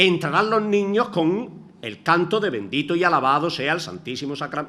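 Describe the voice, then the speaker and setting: With vocal fry and a bright, sharp tone, a man speaks at a moderate pace against audible room echo. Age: 60s. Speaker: retired teacher, lecturer. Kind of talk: lecture.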